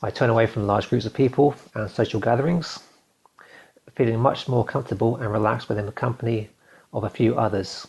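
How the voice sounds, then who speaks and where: A man talks at a fairly quick pace in a medium-pitched, somewhat breathy voice. His intonation stays fairly even. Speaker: video blogger. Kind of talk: reading aloud. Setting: recording to camera. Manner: fast; nervous.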